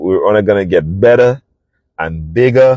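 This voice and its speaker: With a Saint Lucian accent, a man speaks in an animated tone at a fairly low pitch, with ordinary pitch variation and a dry, close sound with no echo. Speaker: podcast host, travel business owner. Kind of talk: casual monologue podcast. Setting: in a parked vehicle.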